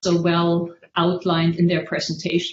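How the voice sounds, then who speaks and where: Her voice is somewhat breathy and sits at a medium pitch for a woman. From Germany, Worms. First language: German. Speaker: history scholar on a panel. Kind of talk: academic lecture.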